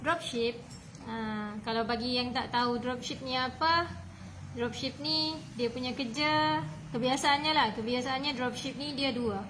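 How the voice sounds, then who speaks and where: A woman's high voice at a fairly slow pace, amid noticeable background noise and audible room echo. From Malaysia, Sabah (Tawau). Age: 20s. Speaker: online seller, business coach. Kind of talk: live stream talk. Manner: hesitant, many fillers.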